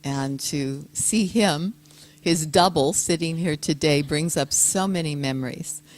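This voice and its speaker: A woman speaks at a very slow pace. Her very deep, low pitch shows ordinary variation. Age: old. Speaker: peace activist and yoga teacher. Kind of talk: speech.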